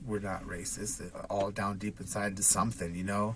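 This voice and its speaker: A man with a Pacific Northwest accent, fairly low in pitch, monotone and flat, at a moderate pace. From Washington state, Redmond. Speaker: business owner and single dad. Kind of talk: casual chat. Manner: halting, many fillers.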